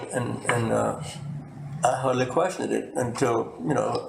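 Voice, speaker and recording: Background noise is clearly heard as a man talks. His voice carries an audible room echo. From US South. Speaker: retired pharmacist and former state delegate. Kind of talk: oral history interview. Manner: halting, frequent repetitions and fillers.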